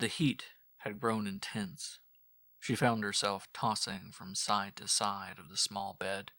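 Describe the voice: Over a quiet background, the voice is plain reading aloud.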